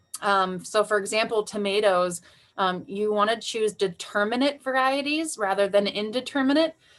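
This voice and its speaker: A woman speaks at a moderate pace in a fairly high pitch with ordinary pitch variation. Hers is an unremarkable speaking voice, with very even loudness. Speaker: garden center presenter. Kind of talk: webinar presentation. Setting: online video call.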